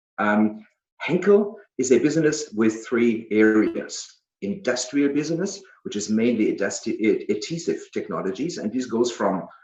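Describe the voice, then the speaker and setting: With a German accent, this speaker moves at a moderate pace while the pitch swings very widely. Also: man, fairly high pitch for a man. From Germany. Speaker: business executive. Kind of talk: presentation. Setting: video call. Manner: halting, many fillers.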